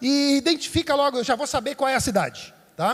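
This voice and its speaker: Pitched extremely high, a man speaks with ordinary pitch variation. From Santa Catarina, southern Brazil. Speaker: pastor. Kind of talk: sermon. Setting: church service. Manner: conversational, engaging the audience.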